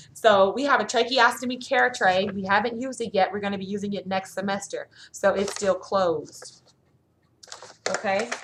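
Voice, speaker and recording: Her voice is a normal speaking voice, with a woman's medium pitch, ordinary pitch variation and a moderate pace. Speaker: nursing student vlogger. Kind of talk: casual show-and-tell vlog.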